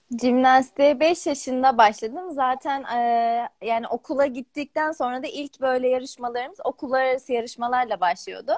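The background is quiet. A woman speaks at a high pitch. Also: ordinary pitch variation, moderate pace. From Turkey, grew up in Bolu; Turkey. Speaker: gymnast. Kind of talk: interview. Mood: warm, smiling, reflective. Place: home room. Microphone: video call.

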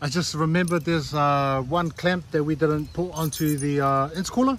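Over noticeable background noise, a man's voice comes through as a dry sound with no echo. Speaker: car enthusiast vlogger. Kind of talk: casual vlog chat. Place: street. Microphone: phone near.

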